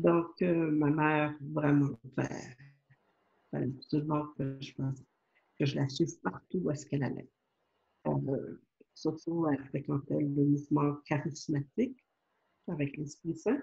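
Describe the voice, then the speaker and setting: A woman speaks very slowly in a very deep, low voice with a dark, mellow tone and vocal fry, leaving long, frequent pauses. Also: ordinary pitch variation. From Quebec, Montreal. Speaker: spiritual author and channel. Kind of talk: interview. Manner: hesitant, many fillers.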